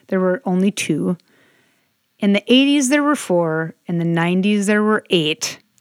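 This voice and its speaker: A woman's ordinary speaking voice at medium pitch, lively intonation, moderate pace, dry, close sound with no echo, on a very clean recording with a silent background. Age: 20s. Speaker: sommelier, podcast co-host. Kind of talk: casual chat.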